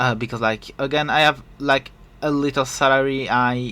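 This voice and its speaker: A man's bright, sharp voice in a French accent, monotone and flat, at a moderate pace. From France. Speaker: podcast host and streamer. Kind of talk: casual solo podcast talk. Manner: hesitant, many fillers.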